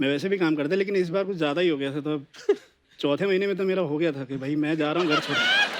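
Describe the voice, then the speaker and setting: A man speaks with a fairly high pitch. His intonation has ordinary variation. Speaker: singer. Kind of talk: casual chat.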